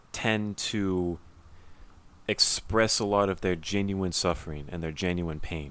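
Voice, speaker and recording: A man with a Californian accent speaks at a very deep, low pitch with ordinary pitch variation, very slowly and with long, frequent pauses. The recording is very clean, with a silent background. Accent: Californian American. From Southern California. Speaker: podcast co-host. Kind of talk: casual chat.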